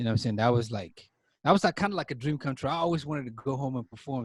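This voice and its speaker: A man's somewhat breathy voice comes through. The sound is dry and close with no echo, on a very clean recording with a silent background. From Cameroon (Northwest, Anglophone region). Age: 20s. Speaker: author and musician. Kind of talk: podcast interview. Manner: casual, filler-heavy.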